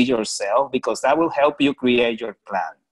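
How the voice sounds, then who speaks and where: A strong Puerto Rican accent with ordinary pitch variation. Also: man. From Puerto Rico. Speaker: research funding program director. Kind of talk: panel discussion.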